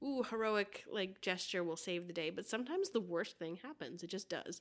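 A woman with an American accent has an unremarkable speaking voice at a medium pitch. She talks at a fairly quick pace with ordinary pitch variation. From US, Florida. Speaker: podcast host. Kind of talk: casual chat.

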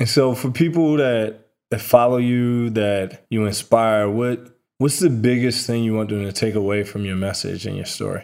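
At a moderate pace, a man speaks in a plain, everyday voice of medium pitch. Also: ordinary pitch variation. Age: 30s. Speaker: podcast host and photographer. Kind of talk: casual interview.

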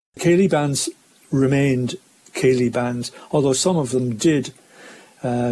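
Noticeable background noise surrounds this recording. A man speaks at a moderate pace with an Irish accent. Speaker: showband musician. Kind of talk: interview recollection.

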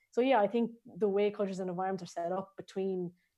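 Speaking in an Irish accent, a woman has a medium pitch. Her tone is dark and mellow. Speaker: strength and conditioning coach. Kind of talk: interview. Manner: hesitant, many fillers.

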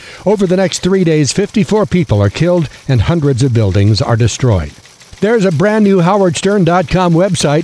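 Over noticeable background noise, an energetic voice moves at a moderate pace with very wide pitch swings yet very even loudness. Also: man, high pitch for a man. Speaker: newscaster. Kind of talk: radio newsreading, brisk and polished, crisp anchor delivery with promo reads. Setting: studio. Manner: crisp, formal, steady, energetic.

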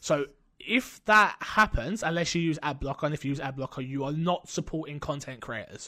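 On a very clean recording with a silent background, a man speaks at a fairly quick pace. His voice is fairly high for a man and bright and sharp in tone, with ordinary pitch variation. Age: 20s. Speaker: streamer and podcast host. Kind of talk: casual chat. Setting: home streaming setup.

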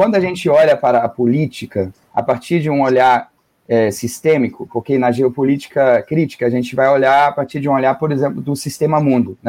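The tone is dark and mellow, delivered at a fairly quick pace. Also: man, fairly high pitch for a man, ordinary pitch variation. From northern Germany. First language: German (speaking Portuguese). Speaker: geography professor. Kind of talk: radio interview. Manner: halting.

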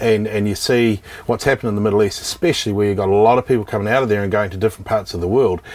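With a New Zealand accent, a man with a fairly low voice speaks over noticeable background noise. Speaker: real estate company executive. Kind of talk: casual interview chat.

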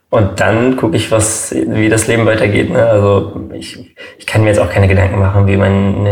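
A plain, everyday voice goes at a fairly quick pace with hardly any pauses. The intonation stays fairly even. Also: man. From Germany. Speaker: YouTuber. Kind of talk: casual chat.

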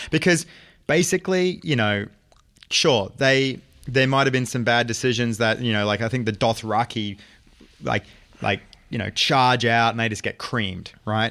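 With an Australian accent, a man talks at a moderate pace in a medium pitch, his tone bright and sharp, his pitch varying in an ordinary way, with long, frequent pauses. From Australia, Brisbane. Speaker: film writer and director. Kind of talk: casual chat. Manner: halting, many fillers.

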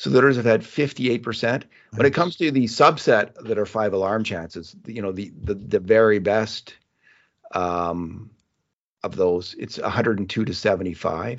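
An unremarkable speaking voice from a man, fairly low in pitch, with lively intonation at a moderate pace. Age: 60s. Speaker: sports journalist and podcast host. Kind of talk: casual hockey analysis chat.

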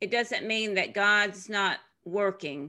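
Against a quiet background, a woman speaks with lively intonation in a bright, sharp tone. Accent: Tennessee. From US South, Tennessee. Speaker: author and former missionary. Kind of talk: interview.

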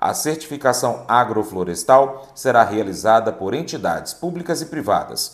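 Vocal fry runs through this man's medium-pitched voice. He moves at a moderate pace, with very wide pitch swings. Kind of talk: news reading. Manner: formal; steady, measured newsreader pace.

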